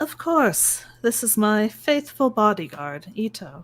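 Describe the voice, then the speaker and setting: Using a put-on character voice, a breathy woman speaks at a fairly slow pace, her fairly high pitch swinging very widely. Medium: actual play. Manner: smiling, gracious.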